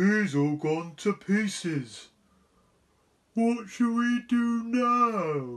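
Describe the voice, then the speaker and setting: A put-on character voice at a fairly high pitch and a very slow pace, with long, frequent pauses. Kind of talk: bedtime story. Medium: read story.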